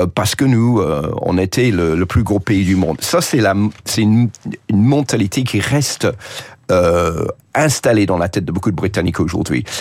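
Speaking with an English accent, a man uses fairly low pitch and lively intonation at a fairly slow pace. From England. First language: English (speaking French). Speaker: journalist. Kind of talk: radio interview. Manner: hesitant, frequent fillers and repetitions.

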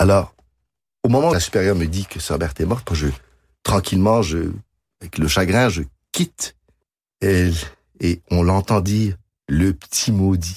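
Recorded very cleanly against a silent background, a man with a Quebec accent and a very deep, low voice speaks at a moderate pace with ordinary pitch variation. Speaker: pianist and composer. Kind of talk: radio interview.

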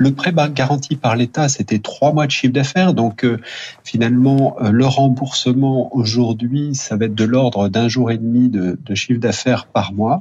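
With a plain, everyday voice, a man speaks at a medium pitch and a fairly slow pace, his pitch varying in an ordinary way. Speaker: bank executive. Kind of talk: radio interview. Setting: remote line to radio studio. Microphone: line cut out briefly.

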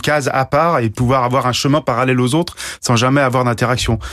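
Speaking very fast, the man keeps his voice at a medium pitch. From Guadeloupe. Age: 40s. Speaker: professional sailor. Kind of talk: radio interview. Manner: halting, frequent hesitations.

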